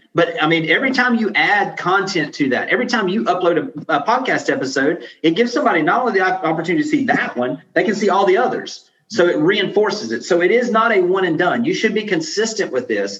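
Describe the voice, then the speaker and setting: With noticeable background noise behind him, a man talks at a very fast pace in a high pitch, with very wide pitch swings, very even loudness and hardly any pauses. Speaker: real estate business coach. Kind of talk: podcast interview.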